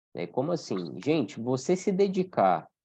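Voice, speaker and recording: A man talks fairly slowly in a dark, mellow tone. The background is quiet. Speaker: Umbanda study teacher. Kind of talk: online class lecture. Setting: video call with screen sharing.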